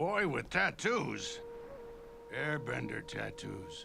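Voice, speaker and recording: Clear music plays behind a man doing a raspy, put-on character voice. He speaks at a very slow pace. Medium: cartoon. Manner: gruff, blunt.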